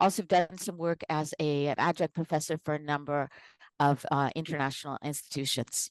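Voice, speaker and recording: Speaking at a moderate pace with an American accent, a woman with a very deep, low voice keeps a fairly even intonation, heard dry and close with no echo over a quiet background. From United States. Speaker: organizational psychologist and consultant. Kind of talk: live online presentation.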